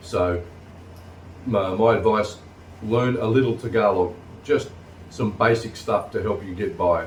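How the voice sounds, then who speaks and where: In an Australian accent, a man with a fairly low, somewhat breathy voice talks fairly slowly with ordinary pitch variation and long, frequent pauses, with audible room echo around him. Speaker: vlogger. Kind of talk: casual vlog talk. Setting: sitting on couch at home.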